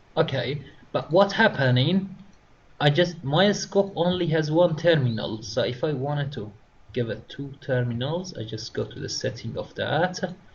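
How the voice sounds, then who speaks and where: With a non-native accent, a man speaks in a somewhat breathy voice with lively intonation. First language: not English. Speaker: instructor. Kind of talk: tutorial. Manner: halting.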